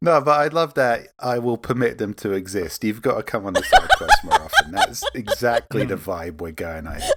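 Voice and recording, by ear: With a medium pitch and very wide pitch swings, a man talks at a moderate pace in a fairly bright tone with few pauses.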